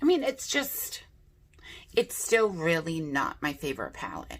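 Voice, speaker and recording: With a bright, sharp tone and vocal fry, a woman speaks at a fairly slow pace. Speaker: beauty youtuber. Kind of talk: casual chat. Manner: chatty.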